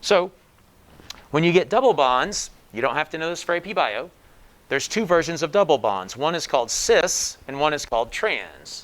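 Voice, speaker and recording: A man speaks at a moderate pace in a fairly high voice. His pitch swings very widely. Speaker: high school biology teacher. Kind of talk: lecture. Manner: casual, conversational.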